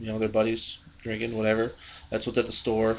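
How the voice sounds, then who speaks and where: A man at medium pitch talks at a very fast pace. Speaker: beer podcast co-host. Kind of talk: casual chat.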